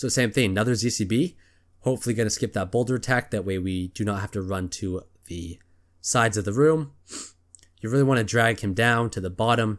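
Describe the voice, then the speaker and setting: Using a plain, everyday voice, a man speaks fairly quickly at a fairly low pitch. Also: ordinary pitch variation, very clean recording, silent background. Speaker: gaming video creator. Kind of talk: gameplay commentary. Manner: casual, filler-heavy.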